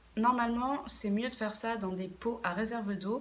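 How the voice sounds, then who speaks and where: A woman speaks at a fairly slow pace, somewhat breathy, with ordinary pitch variation. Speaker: plant care YouTuber. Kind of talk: casual vlog tutorial. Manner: hesitant, many fillers.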